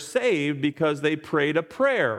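A man at a moderate pace, fairly high in pitch, with an unremarkable speaking voice. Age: 60s. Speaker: pastor. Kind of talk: sermon. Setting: church.

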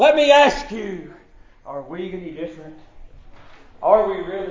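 A man talks at a fairly slow pace with a Southern US accent. Noticeable background noise runs under his voice. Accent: Southern American. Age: 40s. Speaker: pastor. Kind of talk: sermon. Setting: church. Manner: halting.

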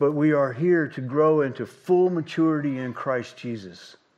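This is a normal speaking voice from a man, fairly high in pitch with ordinary pitch variation. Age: 60s. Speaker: pastor. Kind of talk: sermon. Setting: church.

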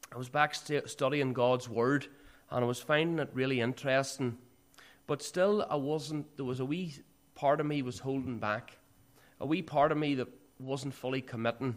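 A man with a Northern Irish accent speaks at a moderate pace, his medium-pitched voice keeping a fairly even intonation. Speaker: church speaker giving testimony. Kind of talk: testimony. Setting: church.

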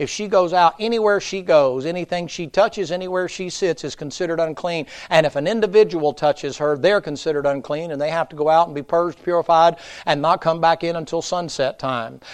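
With an Appalachian accent, a man talks at a fairly quick pace in a high pitch, his tone animated and his pitch variation ordinary. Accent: Appalachian Southern US. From US South, Tennessee mountains. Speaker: pastor. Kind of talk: sermon. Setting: church. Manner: folksy, animated.

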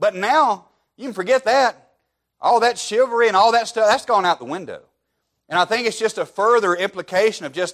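In a very clean recording with a silent background, a man with a Southern US accent talks at a fairly quick pace with lively intonation. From Alabama, US South. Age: 30s. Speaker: pastor. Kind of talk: sermon.

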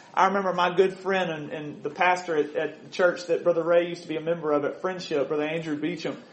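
A high-pitched man with an American accent, fairly even intonation and audible room echo. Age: 30s. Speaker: preacher. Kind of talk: sermon.

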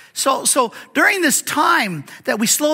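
A man's raised, projected voice, bright and sharp in tone, with very wide pitch swings. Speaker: pastor and Bible teacher. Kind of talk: sermon. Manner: halting, frequent fillers and repeats.

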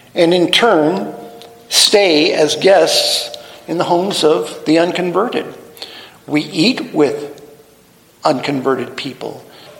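Over noticeable background noise, a high-pitched man speaks at a very slow pace with long, frequent pauses and ordinary pitch variation. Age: 70s. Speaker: pastor. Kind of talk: sermon. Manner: halting.

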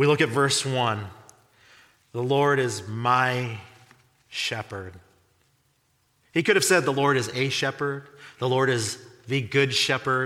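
A man's bright, sharp tone at medium pitch, fairly slow pace with long, frequent pauses, ordinary pitch variation and audible room echo. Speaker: pastor. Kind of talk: sermon.

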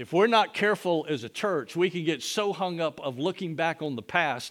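At a moderate pace, a man with a fairly high pitch speaks in a plain, everyday voice on a very clean recording with a silent background. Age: 50s. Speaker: pastor. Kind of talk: sermon.

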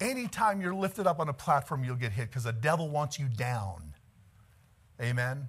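The voice is somewhat breathy and animated in tone. It moves at a fairly quick pace with very wide pitch swings. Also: man. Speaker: Baptist preacher. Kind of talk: sermon, preacher in full flow, fervent and rousing. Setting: church with congregation. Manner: animated, exhorting the congregation, calling for amens; conversational, occasionally laughing.

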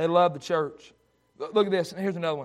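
A man with a high pitch, its variation ordinary

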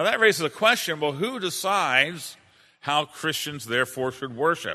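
Against a quiet background, a man talks with lively intonation and a bright, sharp tone. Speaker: pastor. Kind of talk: lecture. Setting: church. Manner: fast talker.

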